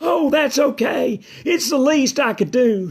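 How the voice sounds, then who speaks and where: The put-on character voice is high-pitched and moves at a fairly slow pace. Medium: read story. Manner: shy, meek.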